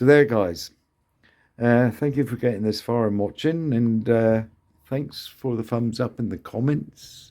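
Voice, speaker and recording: Mumbling at a fairly slow pace, a man speaks with a dark, mellow tone and ordinary pitch variation. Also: medium pitch for a man. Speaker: scale model builder. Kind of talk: casual build tutorial.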